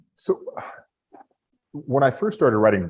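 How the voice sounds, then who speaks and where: A very fast-talking man with an American accent. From Texas. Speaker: novelist. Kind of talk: panel discussion. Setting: video call. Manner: halting, many fillers and repetitions.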